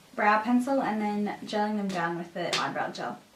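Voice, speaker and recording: A woman's lively intonation carries through audible room echo and noticeable background noise. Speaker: beauty vlogger. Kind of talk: tutorial.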